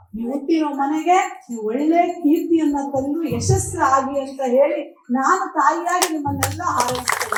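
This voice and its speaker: High-pitched female speech with audible room echo and noticeable background noise. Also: ordinary pitch variation. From Karnataka, village. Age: 50s. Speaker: women's commission chairperson. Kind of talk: public speech.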